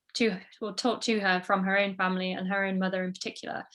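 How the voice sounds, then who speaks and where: In a Yorkshire accent, a woman speaks at a fairly quick pace with monotone, flat intonation on a very clean recording with a silent background. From northern England, Sheffield. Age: 20s. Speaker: social media creator. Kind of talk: interview. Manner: hesitant, many fillers.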